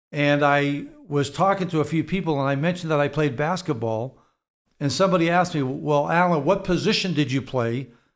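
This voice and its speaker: At a fairly quick pace, a man with a Boston accent speaks at a fairly high pitch with ordinary pitch variation and very even loudness, on a very clean recording with a silent background. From Boston, US Northeast. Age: 70s. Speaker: real estate executive. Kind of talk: interview. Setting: studio.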